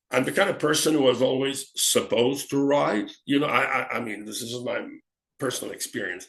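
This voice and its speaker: A man speaks with a French Canadian accent. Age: 70s. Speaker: actor, film director and acting teacher. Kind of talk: interview conversation. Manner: halting, many fillers.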